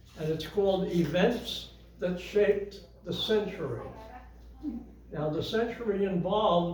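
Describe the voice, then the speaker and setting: Fairly slow speech amid noticeable background noise and audible room echo. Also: man. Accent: American. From US, western Pennsylvania. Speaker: retirement home resident presenter. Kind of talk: talk to audience. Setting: room with audience, with microphone. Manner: halting.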